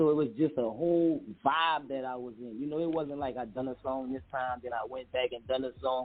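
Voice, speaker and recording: In a New Orleans accent, a man speaks at a moderate pace. His pitch is fairly high, with ordinary variation. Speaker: rapper. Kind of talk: interview.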